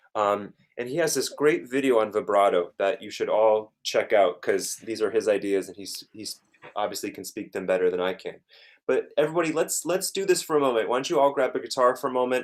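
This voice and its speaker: On a very clean recording with a silent background, a man talks at a fairly quick pace with big swings in loudness. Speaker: guitar teacher. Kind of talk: masterclass teaching. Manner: soft-spoken; halting, repetitive.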